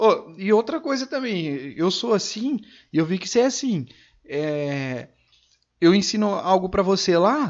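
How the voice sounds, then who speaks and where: This man speaks at a fairly slow pace in a high voice with lively intonation. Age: 20s. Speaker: podcast host. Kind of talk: casual chat.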